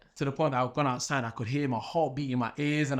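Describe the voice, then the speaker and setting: A man with a Nottingham accent talks at a very fast pace in a fairly high pitch. His intonation is monotone and flat, against a quiet background. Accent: English Midlands, Nottingham. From England, Nottingham. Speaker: professional boxer. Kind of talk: casual interview.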